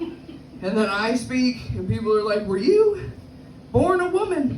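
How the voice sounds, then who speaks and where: A woman talks with audible room echo and noticeable background noise around her. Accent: American. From New York, the Bronx. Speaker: stand-up comedian. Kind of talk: stand-up. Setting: stage with audience.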